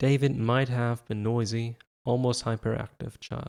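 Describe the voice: Plain reading aloud with fairly even intonation plays over a quiet background.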